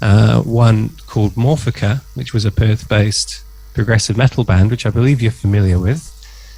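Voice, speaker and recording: Somewhat breathy, a man talks at a moderate pace in a fairly low pitch with ordinary pitch variation and a dark, mellow tone. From southern England, near Oxford. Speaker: guitarist. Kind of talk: interview. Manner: hesitant, many fillers.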